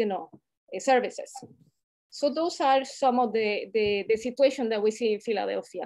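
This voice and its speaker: A woman speaks in a Latin American accent at a moderate pace. Her voice is fairly high, with ordinary pitch variation. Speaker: healthcare community leader. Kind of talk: panel discussion. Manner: halting, with many fillers.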